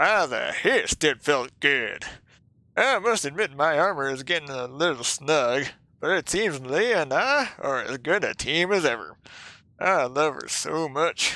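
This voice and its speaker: A put-on character voice speaks at a middle pitch and moderate pace. The recording is very clean, with a silent background. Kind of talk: read story. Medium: role play.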